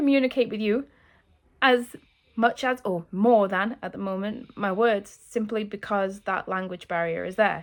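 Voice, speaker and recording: Speaking at a moderate pace in a British accent, a woman has a medium pitch and ordinary pitch variation on a very clean recording with a silent background. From England. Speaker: YouTuber learning Russian. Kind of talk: vlog talking to camera. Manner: halting, many fillers; emotional, earnest.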